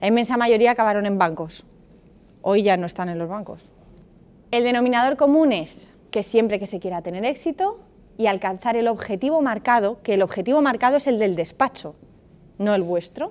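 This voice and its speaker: A woman talks at a moderate pace with a fairly high pitch and lively intonation. It is an ordinary speaking voice. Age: 30s. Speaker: lawyer and master's program coordinator. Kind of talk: seminar talk to university students.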